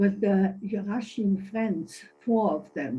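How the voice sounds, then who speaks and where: A woman speaks at a medium pitch in a dark, mellow tone. Her voice is somewhat breathy, with fairly even intonation. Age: 80s+. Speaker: senior citizens' association member. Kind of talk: meeting statement. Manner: halting.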